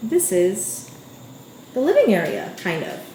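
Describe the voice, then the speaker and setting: A woman with a New York accent at a fairly slow pace, with audible room echo and noticeable background noise. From Staten Island, New York. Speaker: lifestyle vlogger. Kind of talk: casual vlog, apartment tour. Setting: at home. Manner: chatty, informal.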